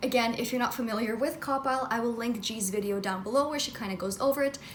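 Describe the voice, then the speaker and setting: The speech comes at a very fast pace with ordinary pitch variation. Noticeable background noise and audible room echo are present. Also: woman. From Russia. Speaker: book reviewer. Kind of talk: comedic in-character intro; book review vlog. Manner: casual, scripted-sounding.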